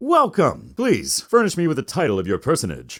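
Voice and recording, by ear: A man does a put-on character voice at a fairly high pitch with a slightly husky edge. The pitch swings very wide at a moderate pace.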